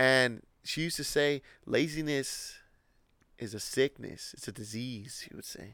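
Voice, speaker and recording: A man talks fairly slowly at a medium pitch, with ordinary pitch variation. His loudness swings widely, and he takes long, frequent pauses. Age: 30s. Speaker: podcast co-host. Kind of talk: casual chat. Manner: casual, filler-heavy.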